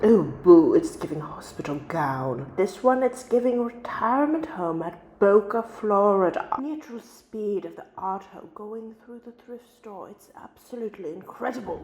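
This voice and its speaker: With noticeable noise behind her, a woman speaks at a moderate pace with hardly any pauses, her fairly high voice making very wide pitch swings and big jumps in loudness. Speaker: vlogger. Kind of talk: voice-over narration.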